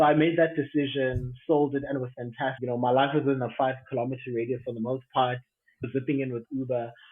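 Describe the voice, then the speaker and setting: Intonation stays flat and monotone. The delivery is very fast. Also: man, medium pitch for a man. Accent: South African. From South Africa. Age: 30s. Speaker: aviation professional. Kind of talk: casual chat.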